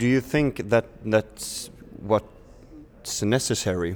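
A man with a Swedish accent. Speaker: podcast host. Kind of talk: interview. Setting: festival. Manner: slightly halting.

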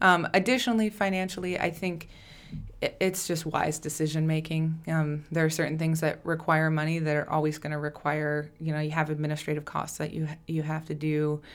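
This woman has an Upper Midwest accent and a very deep, low pitch. She talks at a fairly quick pace with fairly even intonation. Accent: Upper Midwest (Minnesota). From southern Minnesota. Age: 20s. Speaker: nonprofit founder, childhood cancer survivor. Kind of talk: casual interview.

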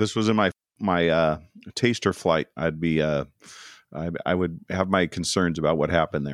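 Against a quiet background, a man with an American accent speaks at a very deep, low pitch and moderate pace, with ordinary pitch variation and a dry, close sound free of echo. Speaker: podcast host. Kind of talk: casual chat.

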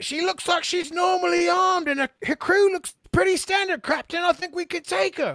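An extremely high-pitched, put-on character voice runs at a moderate pace with hardly any pauses. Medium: actual play. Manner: shouting, eager.

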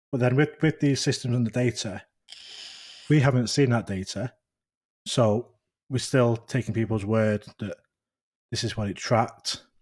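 This man has a medium-pitched, somewhat breathy voice with a northern English accent. He talks at a moderate pace. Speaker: podcast host, sighting report collector. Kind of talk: casual chat.

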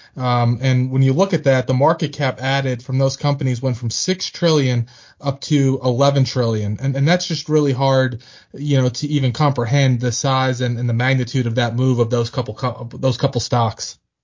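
A man's somewhat breathy, medium-pitched voice with an American accent, fairly even intonation and a moderate pace. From Pennsylvania. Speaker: financial podcast host. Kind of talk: casual chat about markets.

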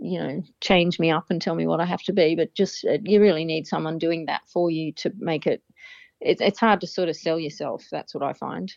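A woman with an Australian accent, fairly low in pitch, at a moderate pace with fairly even intonation. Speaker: guitarist and singer-songwriter. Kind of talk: casual interview.

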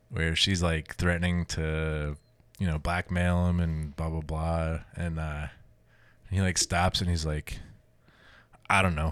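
Monotone, flat delivery broken by long, frequent pauses, on a very clean recording with a silent background. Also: man, very deep, low pitch for a man. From New Jersey. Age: 30s. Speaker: strongman competitor and army veteran. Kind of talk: casual chat.

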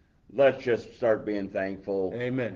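Using a normal speaking voice, a man speaks at a fairly slow pace with a fairly low pitch. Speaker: deacon. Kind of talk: fervent prayer, earnest and heartfelt. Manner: earnest, fervent prayer tone.

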